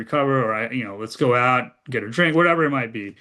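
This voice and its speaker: Man with a General American accent, medium pitch and a fairly quick pace, over a quiet background. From US Midwest (Ohio). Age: 40s. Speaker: former government speechwriter and policy advisor. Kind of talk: casual conversation with audience advice. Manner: halting, many fillers.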